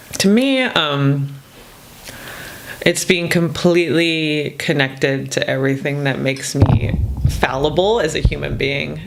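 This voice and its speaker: Delivered at a fairly slow pace, the speech carries noticeable background noise. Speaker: podcast co-host, therapist. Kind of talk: casual chat.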